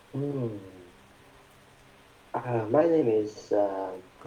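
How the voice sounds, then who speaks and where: A man with an Indonesian accent, a medium pitch and a dark, mellow, somewhat breathy tone, at a very slow pace with long, frequent pauses. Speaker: participant. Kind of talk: casual chat. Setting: video call.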